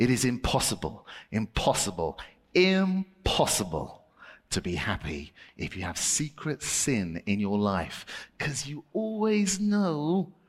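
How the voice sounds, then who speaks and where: With very wide pitch swings, a man speaks at a fairly slow pace on a very clean recording with a silent background. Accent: British. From Britain. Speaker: children's preacher and ventriloquist. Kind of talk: children's ministry talk with puppet act. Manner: animated.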